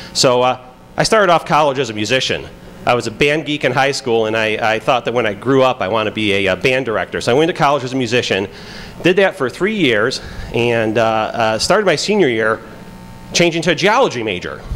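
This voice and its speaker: With a Chicago accent and lively intonation, a man talks at a fairly quick pace and medium pitch over noticeable background noise. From Pittsburgh. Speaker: FBI agent giving conference talk. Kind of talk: conference talk. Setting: stage with audience. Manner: casual, many fillers.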